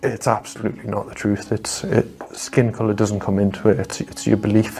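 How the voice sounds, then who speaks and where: In a Geordie accent, the speaker talks at a moderate pace with monotone, flat intonation. Noticeable background noise sits behind the voice. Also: man. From northeast England, Washington. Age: 30s. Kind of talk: testimony. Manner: halting, repeats words.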